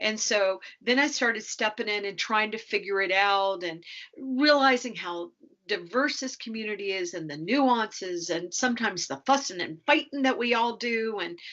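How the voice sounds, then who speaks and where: Here is a woman with a normal speaking voice and a fairly high pitch. She talks at a moderate pace with lively intonation. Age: 60s. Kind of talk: podcast interview.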